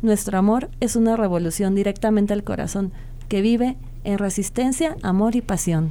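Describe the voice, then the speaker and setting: Her voice is medium-pitched with a dark, mellow tone. This woman speaks at a moderate pace with ordinary pitch variation. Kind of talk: spoken-word poetry reading, a slam-style love poem performed live on radio. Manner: passionate, intimate, lyrical and fervent, like a vow to a lover.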